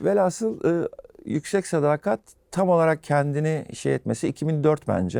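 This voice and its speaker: A man speaks at a fairly slow pace in a dark, mellow tone. The recording is very clean, with a silent background. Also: dry, close sound with no echo. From Turkey, Izmir. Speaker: rock bassist and songwriter. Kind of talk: casual interview.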